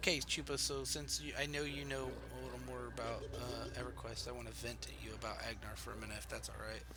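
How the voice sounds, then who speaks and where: A soft-spoken man with a very deep, low pitch talks at a moderate pace in a monotone, flat intonation, with noticeable background noise and audible room echo. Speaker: video game streamer. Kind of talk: casual chat. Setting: live stream. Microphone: quiet, voice turned up.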